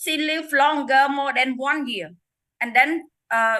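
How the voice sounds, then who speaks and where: A woman with a high pitch and a bright, sharp tone uses a raised, projected voice, speaking at a fairly slow pace with ordinary pitch variation. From Cambodia. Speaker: network marketing distributor sharing success story. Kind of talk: testimony. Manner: halting.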